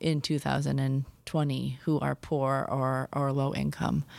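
A woman with an American accent is heard on a very clean recording against a silent background. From US Midwest, Milwaukee, Wisconsin. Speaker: pastor and activist. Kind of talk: interview.

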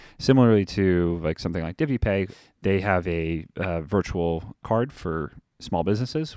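With an American accent and a very deep, low pitch, a man speaks at a moderate pace with lively intonation in a very clean, dry, close recording with a silent background and no echo. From US East Coast. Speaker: investment director at a bank. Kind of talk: interview.

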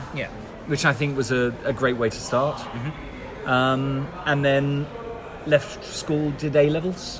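Music plays in the background as a man with a fairly high pitch speaks at a very slow pace. His intonation is fairly even, and the room echo is audible. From southern England, Devon. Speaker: actor. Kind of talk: casual chat. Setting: public venue.

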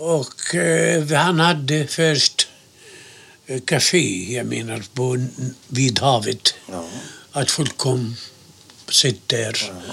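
A man at a very slow pace, with long, frequent pauses, lively intonation, big swings in loudness and noticeable background noise. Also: medium pitch for a man. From Gaza, Palestine. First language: Arabic (speaking Swedish). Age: 70s. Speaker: interviewee, Palestinian emigrant. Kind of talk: oral history interview.

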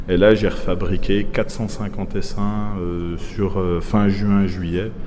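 Flat, monotone intonation comes through with audible room echo and noticeable background noise. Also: man. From Franche-Comté, Doubs. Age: 30s. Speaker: beekeeper and vineyard worker. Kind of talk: casual chat.

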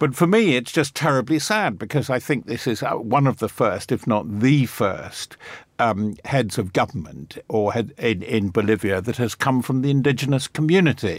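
Speaking at a moderate pace with hardly any pauses, a man uses lively intonation at a medium pitch. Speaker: defence journalist. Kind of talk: panel discussion on news. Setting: studio. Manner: halting, many fillers.

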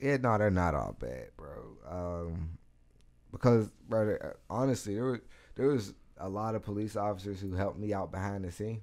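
In a very clean recording with a silent background, a man with an American accent and an unremarkable speaking voice speaks at a moderate pace in a fairly low pitch with ordinary pitch variation. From US, Pittsburgh East Side (Garfield). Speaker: activist and public speaker. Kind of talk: casual interview. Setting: studio.

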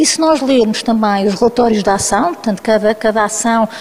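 Noticeable background noise behind pitch that varies in an ordinary way. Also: woman. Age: 50s. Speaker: anthropologist and researcher. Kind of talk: panel discussion.

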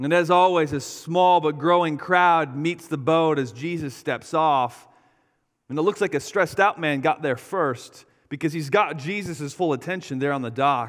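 An unremarkable speaking voice, with ordinary pitch variation and a moderate speed, is heard on a very clean recording against a silent background. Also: man, fairly high pitch for a man. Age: 30s. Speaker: pastor. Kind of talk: sermon.

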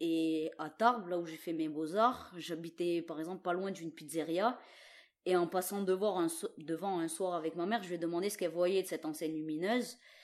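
A woman's fairly low voice with fairly even intonation, at a fairly quick pace. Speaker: visual artist. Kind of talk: interview. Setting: recorded at home during lockdown. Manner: halting, many repetitions.

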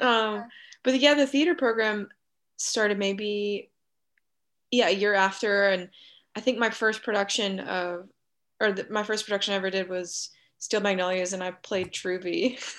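With an American accent, the speaker keeps a moderate pace and ordinary pitch variation, pausing long and often, in a very clean recording with a silent background. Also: woman, medium pitch for a woman. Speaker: actor. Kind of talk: casual interview chat.

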